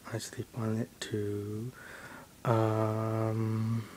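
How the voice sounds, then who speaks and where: A soft-spoken voice over light background noise. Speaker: home video maker. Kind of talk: casual talk to camera. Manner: soft-spoken, hesitant. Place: home room. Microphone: phone near.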